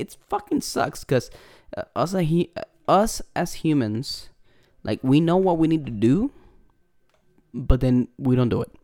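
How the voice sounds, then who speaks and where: The speaker has a Puerto Rican accent. The pace is moderate. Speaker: podcast host. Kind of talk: casual chat. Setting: video call. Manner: filler-heavy, casual.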